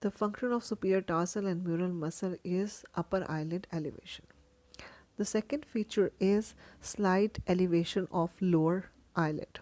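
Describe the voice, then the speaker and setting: The woman's medium-pitched voice has a dark, mellow tone and ordinary pitch variation. The sound is dry and close, with no echo. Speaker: medical educator. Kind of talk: lecture. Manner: slow.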